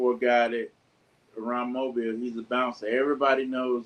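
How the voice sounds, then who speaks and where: At a moderate pace, a man talks in a monotone, flat intonation at a medium pitch. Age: 60s. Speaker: bass player. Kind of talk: interview.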